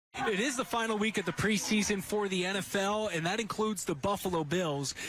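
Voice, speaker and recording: Against noticeable background noise, a man with an American accent speaks at a high pitch. He keeps a moderate pace with lively intonation. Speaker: sports anchor, reporter and podcast host. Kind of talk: sports news anchor read.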